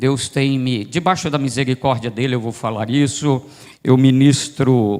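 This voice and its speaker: At a fairly slow pace, an ordinary speaking voice moves with ordinary pitch variation. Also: man. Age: 60s. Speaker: itinerant pastor. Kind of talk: sermon. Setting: church service.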